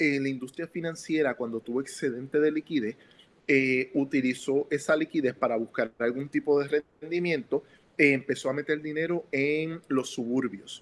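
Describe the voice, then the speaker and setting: An ordinary speaking voice in a dry, close sound with no echo. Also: man. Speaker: economist. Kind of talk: interview. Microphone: audio problems, phone recording.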